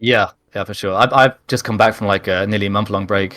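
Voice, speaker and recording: Bright, sharp speech in an English accent at a moderate pace, with fairly even intonation, in a very clean recording with a silent background. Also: man. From England. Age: older than typical gamer. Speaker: video game player and content creator. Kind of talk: casual interview chat.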